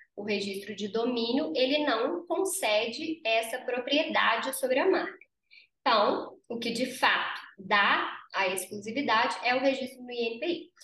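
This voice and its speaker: Her tone bright and sharp, a woman with a high pitch speaks at a fairly slow pace with lively intonation. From Brazil, interior of Minas Gerais. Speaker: lawyer and business founder. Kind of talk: interview.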